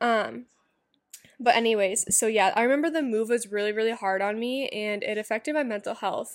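In a very clean recording with a silent background, a woman with an ordinary speaking voice and fairly high pitch talks at a fairly quick pace with ordinary pitch variation. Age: 20s. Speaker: podcast host. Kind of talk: casual monologue, personal life story. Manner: casual, many filler words.

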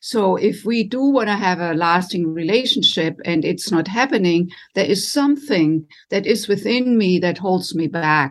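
A woman with a German accent, medium in pitch, with lively intonation at a moderate pace against a quiet background. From Germany. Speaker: relationship coach. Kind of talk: interview. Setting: video call.

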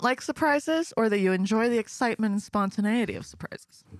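At a fairly quick pace, a woman with a fairly high pitch swings very widely in pitch, and the sound is dry and close with no echo. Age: 20s. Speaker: podcast co-host. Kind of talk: casual chat.

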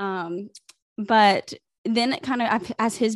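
A woman speaks with a Southern US accent. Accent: Southern American. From US South, South Carolina (Greenville). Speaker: social media influencer. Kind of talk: casual chat. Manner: animated.

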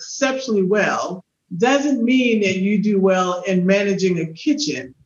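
Lively intonation in a woman's slightly breathy voice. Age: 50s. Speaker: podcast host. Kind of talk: interview.

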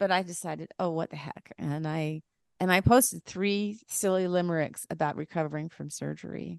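A woman with a normal speaking voice talks at a moderate pace in a fairly low pitch, with ordinary pitch variation and big swings in loudness. The sound is dry and close with no echo, over a quiet background. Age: 60s. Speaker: author and songwriter. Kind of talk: casual chat.

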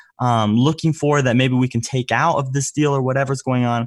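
A man with an ordinary speaking voice talks at a moderate pace and a fairly high pitch. The recording is very clean, with a silent background. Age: 20s. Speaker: sales entrepreneur. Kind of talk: interview.

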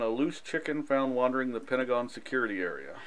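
The pace is very fast. A man speaks with medium pitch. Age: 40s. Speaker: podcast host. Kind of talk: casual chat; news reading.

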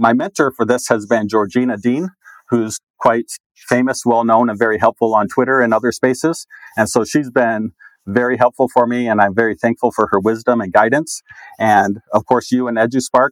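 Speaking in a plain, everyday voice at a moderate pace, a man keeps a medium pitch and fairly even intonation, with a dry, close sound and no echo. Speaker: school digital learning coach. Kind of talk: casual interview chat.

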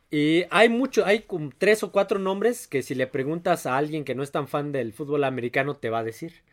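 A man's unremarkable speaking voice, fairly high in pitch, at a moderate pace, on a very clean recording with a silent background. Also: lively intonation. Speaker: sports podcast host. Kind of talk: casual chat.

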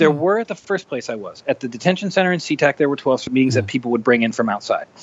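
Noticeable background noise sits behind a man with an American accent. His pitch is fairly high and swings very widely. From US Pacific Northwest (Rainier, Washington). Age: 30s. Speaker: musician in recovery. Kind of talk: interview testimony.

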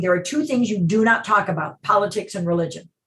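A woman with an American accent talks in a normal speaking voice at a medium pitch, her pace fairly quick and her intonation lively. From US Midwest, Chicago. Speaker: TV producer and ministry director. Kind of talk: casual interview.

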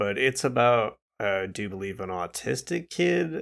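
A man with a fairly low pitch talks on a very clean recording over a silent background. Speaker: podcast co-host. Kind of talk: casual chat. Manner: mumbling; loud at times.

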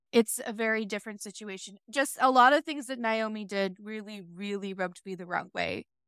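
An ordinary speaking voice with a dry, close sound and no echo, ordinary pitch variation, big swings in loudness and hardly any pauses. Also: woman, fairly high pitch for a woman, fairly quick pace. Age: 30s. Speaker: book podcast co-host. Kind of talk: casual chat.

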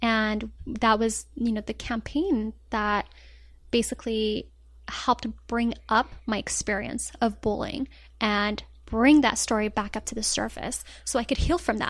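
A woman speaks with a somewhat breathy, fairly high voice and fairly even intonation. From Colorado, US (born in Morocco). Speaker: blogger and anti-bullying advocate. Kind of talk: interview, personal story.

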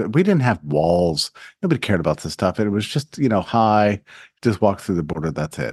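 In an American accent, a man talks at a very fast pace with a fairly low pitch and very wide pitch swings. The recording has a quiet background and a dry, close sound with no echo. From Texas, El Paso. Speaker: think tank president. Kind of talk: interview.

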